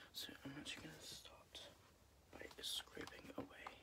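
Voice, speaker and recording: A soft-spoken man at a fairly slow pace, calm in tone, against loud background noise. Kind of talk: soft role-play roleplay chat. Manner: soft, calm ASMR doctor voice. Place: home room. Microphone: phone near.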